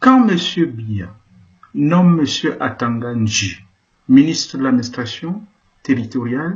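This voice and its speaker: This man's voice is fairly high in pitch and somewhat breathy. He talks at a very slow pace, with long, frequent pauses. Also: lively intonation. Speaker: Jesuit priest. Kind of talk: political address. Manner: impassioned.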